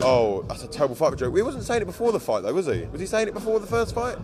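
A man is speaking. Music plays behind him. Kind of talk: angry rant. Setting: press event, interview. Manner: aggrieved, indignant.

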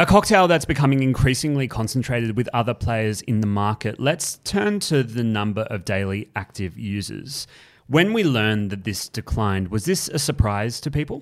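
With an Australian accent, a man speaks in a medium pitch at a moderate pace with lively intonation and hardly any pauses, on a very clean recording with a silent background. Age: 20s. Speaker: news podcast host. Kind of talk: news podcast.

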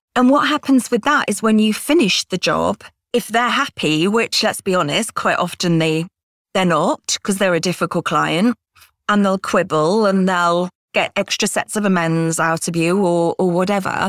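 With a British accent, a woman speaks at a moderate pace and medium pitch with ordinary pitch variation and very even loudness, in a dry, close sound with no echo on a very clean recording with a silent background. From Britain. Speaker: author and freelancer. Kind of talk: interview podcast.

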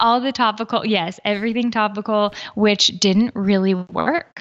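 At a moderate pace and medium pitch, a woman with an American accent talks in a normal speaking voice with fairly even intonation. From United States. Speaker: health coach. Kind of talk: interview.

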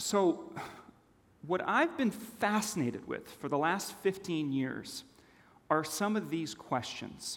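A man with a Californian accent speaks at a high pitch. His pace is very slow, and his pitch swings very widely. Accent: American (Californian). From Switzerland, then Los Angeles from age nine. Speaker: storytelling speaker. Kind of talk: conference talk.

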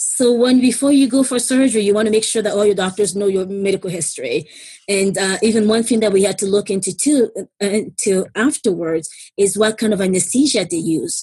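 Somewhat breathy, a woman talks at a fairly quick pace with a medium pitch and ordinary pitch variation. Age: 30s. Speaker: stroke survivor and single mother. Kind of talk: casual interview.

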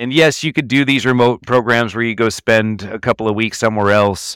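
In a plain, everyday voice, a man with an American accent speaks at a fairly low pitch with ordinary pitch variation, on a very clean recording with a silent background and a dry, close sound with no echo. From Texas, Denton north of Dallas. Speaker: entrepreneur and CEO. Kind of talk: interview.

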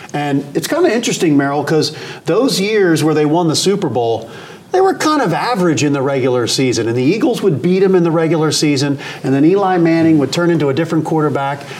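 Over noticeable background noise, a man talks at a very fast pace with lively intonation, a fairly high pitch and very even loudness. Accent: American. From Philadelphia area. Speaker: sports podcast host. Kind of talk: casual interview.

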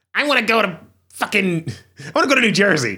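In a nasal, put-on character voice at middle pitch, the speaker goes at a very slow pace. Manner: whiny.

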